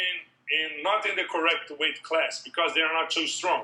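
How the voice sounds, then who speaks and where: A man with a raised, projected voice. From Brazil. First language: Portuguese. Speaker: MMA strength and conditioning coach. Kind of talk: interview. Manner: halting.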